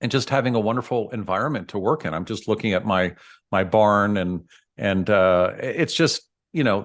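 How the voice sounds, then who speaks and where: A man speaks at a medium pitch with a General American accent and lively intonation. His pace is moderate, and the background is quiet. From US West Coast, San Francisco. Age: 60s. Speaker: dentist. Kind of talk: podcast interview. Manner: halting, many fillers and repeats.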